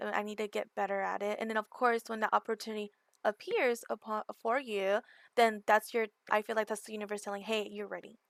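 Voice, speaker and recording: A woman's fairly high voice with a Californian accent, a fairly quick pace, monotone, flat intonation and a dry, close sound with no echo. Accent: Californian American English. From Southern California. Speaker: gaming community manager. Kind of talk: podcast interview.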